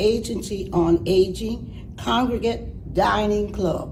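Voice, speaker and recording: Audible room echo and noticeable background noise surround a woman speaking at a medium pitch with ordinary pitch variation. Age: 90s. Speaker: senior program participant. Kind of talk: reading aloud an essay.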